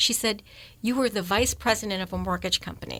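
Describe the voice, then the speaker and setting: The voice carries vocal fry and a bright, sharp tone, with ordinary pitch variation. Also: woman. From moved around US: upstate New York, Texas, Arizona. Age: 60s. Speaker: nonprofit housing executive. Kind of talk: radio interview, casual storytelling. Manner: animated.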